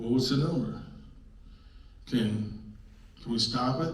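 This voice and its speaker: Delivered fairly quickly, the speech carries audible room echo and noticeable background noise. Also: man. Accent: American. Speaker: local activist presenter. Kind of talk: public presentation. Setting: public meeting with audience. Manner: loud; animated.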